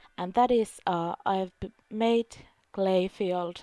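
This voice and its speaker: A woman's dark, mellow tone at medium pitch and a very slow pace. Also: dry, close sound with no echo. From Finland. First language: Finnish. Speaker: gaming YouTuber. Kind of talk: vlog Q&A. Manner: halting, many fillers.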